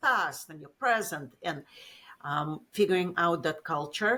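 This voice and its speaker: A woman talks in a Russian accent. Her pace is fairly slow. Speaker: business executive. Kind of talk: interview.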